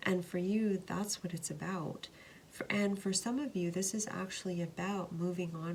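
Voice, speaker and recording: A woman talks at a moderate pace with fairly even intonation. Noticeable background noise runs behind her. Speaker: tarot card reader. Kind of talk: tarot reading to camera.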